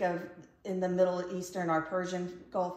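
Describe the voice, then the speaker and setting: At a moderate pace, a woman talks in a medium pitch with an unremarkable speaking voice. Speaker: podcast host. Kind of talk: casual interview chat.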